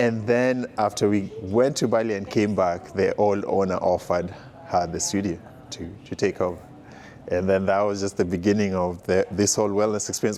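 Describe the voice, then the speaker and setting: A man with a Kenyan accent speaks at a fairly low pitch. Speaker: studio owner's husband. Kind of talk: interview testimony.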